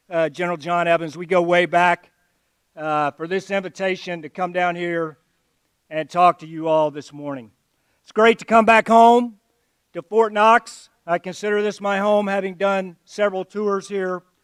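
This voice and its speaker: In a very clean recording with a silent background, a man speaks with an American accent in a high voice. His pitch varies in an ordinary way, and the sound is dry and close with no echo. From Alabama. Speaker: army general, guest speaker. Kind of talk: ceremonial speech. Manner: slow.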